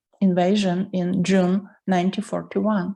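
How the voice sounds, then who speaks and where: Somewhat breathy and dark, mellow in tone, a woman with a Ukrainian accent speaks at a fairly slow pace. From Ukraine, Lviv. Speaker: artist and writer, Soviet regime witness. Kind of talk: personal testimony.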